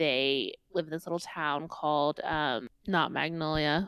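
A woman with a slight Indiana accent, very deep, low pitch, ordinary pitch variation and a moderate pace, on a very clean recording with a silent background. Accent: Indiana Midwestern, slight. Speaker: podcast co-host. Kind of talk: casual chat. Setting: in person, same room.

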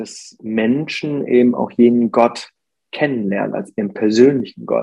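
A man of medium pitch speaks at a very slow pace. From Germany. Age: 40s. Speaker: pastor. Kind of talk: casual interview.

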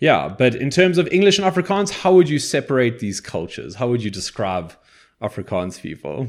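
A man's medium-pitched voice with very wide pitch swings at a fairly quick pace, in a very clean recording with a silent background. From South Africa, English-speaking. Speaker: board game podcast host. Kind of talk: casual chat.

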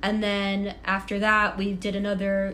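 Someone speaks with an American accent and fairly even intonation, with audible room echo around the voice. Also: woman. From Massachusetts, near Boston. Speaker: Olympic skier. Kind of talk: casual chat. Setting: at home in apartment.

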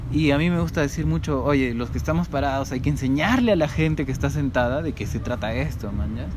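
Over noticeable background noise, a man talks at a very fast pace with hardly any pauses. His medium pitch shows very wide swings. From Cajamarca, Peru. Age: 30s. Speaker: musician. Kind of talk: casual interview.

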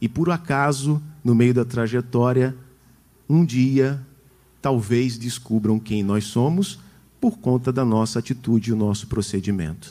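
With a dark, mellow tone and a medium pitch, a man speaks fairly slowly with ordinary pitch variation and long, frequent pauses. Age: 40s. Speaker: preacher. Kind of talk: sermon.

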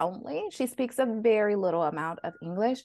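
In an American accent, the speaker has an unremarkable speaking voice and lively intonation. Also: woman. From Flint, Michigan. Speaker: physician and money coach. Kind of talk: interview conversation.

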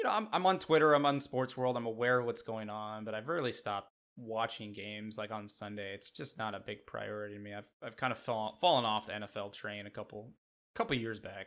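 An unremarkable speaking voice at a fairly quick pace, with big swings in loudness, in a very clean recording with a silent background. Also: man, medium pitch for a man, ordinary pitch variation. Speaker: podcast co-host, Yankees fan. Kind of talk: casual sports podcast chat.

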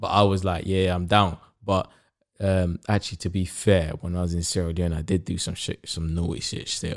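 This man's voice is very deep and low, at a moderate pace. The recording is very clean with a silent background. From Africa, raised in London. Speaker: podcast co-host. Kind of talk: casual banter chat. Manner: animated, energetic.

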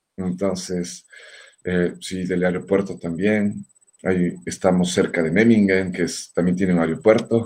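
Speaking at a fairly slow pace, a man keeps fairly even intonation in a very deep, low pitch. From Ecuador, Quito. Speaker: singer and guitarist. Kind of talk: casual interview.

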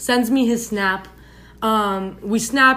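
A woman with a fairly high pitch speaks in an unremarkable speaking voice, her intonation fairly even. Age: 20s. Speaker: podcast guest sharing dating stories. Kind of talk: reading aloud. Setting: in a room, far from recording device. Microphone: far from the mic, uneven volume.

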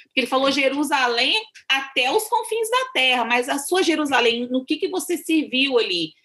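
A woman uses a raised, projected voice with a high pitch and a bright, sharp tone. Her pitch swings very widely. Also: very even loudness. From Brazil, Minas Gerais (rural). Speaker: missionary. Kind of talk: interview.

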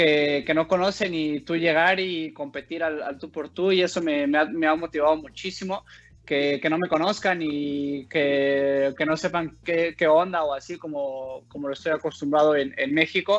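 An unremarkable speaking voice belongs to a man with a fairly high pitch and fairly even intonation. He talks at a fairly slow pace with hardly any pauses. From Mexico. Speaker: professional basketball player. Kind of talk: interview. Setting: video call.

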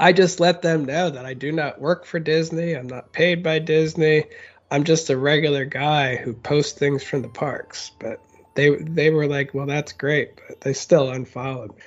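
An ordinary speaking voice: a man with an American accent talks at a moderate pace and a fairly high pitch, with big swings in loudness. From Florida, Orlando area. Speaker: podcast co-host, theme park content creator. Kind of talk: casual chat.

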